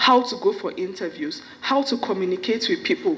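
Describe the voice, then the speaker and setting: There is noticeable background noise as a woman speaks with a fairly high pitch. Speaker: stammering foundation founder. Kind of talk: event speech. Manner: stammers.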